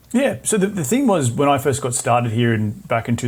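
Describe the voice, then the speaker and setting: With an Australian accent, a man of medium pitch talks at a fairly quick pace in a somewhat breathy voice. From Australia (Brisbane). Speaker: real estate investor and podcast host. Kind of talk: interview.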